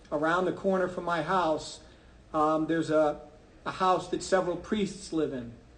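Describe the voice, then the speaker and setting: This man speaks fairly slowly with an American accent, a fairly high pitch and fairly even intonation, and audible room echo surrounds him. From New York, Brooklyn and Long Island. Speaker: math teacher. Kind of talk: personal faith talk to an audience. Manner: conversational, with many fillers.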